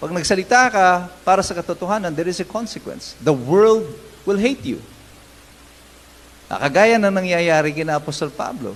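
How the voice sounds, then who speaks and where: A man with a high-pitched voice speaks at a moderate pace with lively intonation, and there is noticeable background noise. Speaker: pastor. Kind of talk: sermon. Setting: church.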